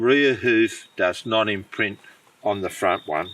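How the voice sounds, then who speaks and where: A man in an Australian accent, medium pitch, ordinary pitch variation, a very slow pace and noticeable background noise. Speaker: deer hunter and guide. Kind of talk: outdoor tutorial. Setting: outdoors in the bush. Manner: unscripted, informal.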